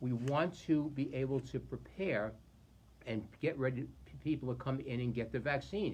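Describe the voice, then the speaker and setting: A man talks in a medium pitch, somewhat breathy, with ordinary pitch variation. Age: 60s. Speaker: county executive. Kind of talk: public briefing.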